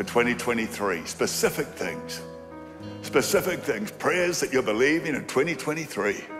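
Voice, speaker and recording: A man's voice over clear music in the background. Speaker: preacher leading prayer. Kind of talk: sermon. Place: hall. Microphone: handheld.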